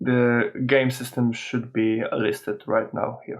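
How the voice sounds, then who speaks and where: A man with a non-native accent, very slow pace and ordinary pitch variation. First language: not English. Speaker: software tutorial host. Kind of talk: tutorial. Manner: hesitant, many filler uhs.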